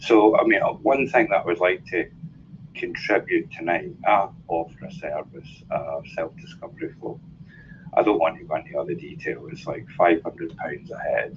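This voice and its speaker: With a Glaswegian accent, a man speaks at a moderate pace, his loudness swinging widely. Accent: Glaswegian Scottish. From Scotland, Glasgow. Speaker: life coach speaking as a guest. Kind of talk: casual talk in an online audio room.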